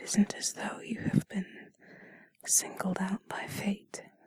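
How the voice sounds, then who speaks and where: A whispered voice at a very slow pace. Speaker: intimate audio creator. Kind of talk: unscripted bedtime comfort talk. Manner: whispering; soft-spoken.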